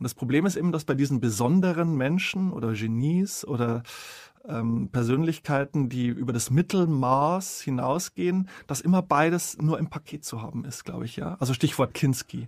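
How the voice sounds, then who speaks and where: With an unremarkable speaking voice, a man talks moderately paced at a fairly high pitch, his pitch variation ordinary. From Bavarian Forest, Bavaria. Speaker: author and journalist. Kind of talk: interview conversation.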